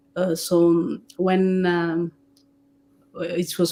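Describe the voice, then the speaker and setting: A woman with a French accent speaks in a fairly low pitch with a dark, mellow tone. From Democratic Republic of Congo, Rwandan family. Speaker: theatre director and playwright. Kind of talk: interview on stage. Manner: halting, frequent repetitions.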